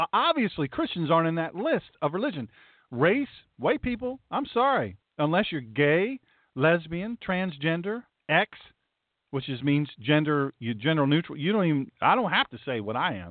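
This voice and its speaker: A man with a Southern US accent talks in an animated tone at fairly high pitch. His pitch swings very widely at a moderate pace. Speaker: pastor and talk radio host. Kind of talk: talk radio monologue. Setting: internet radio broadcast.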